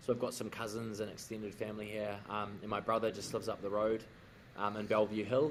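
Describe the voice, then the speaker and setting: A man's very fast, monotone delivery, fairly low in pitch, with a New Zealand accent and flat intonation. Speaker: rugby player. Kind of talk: casual chat.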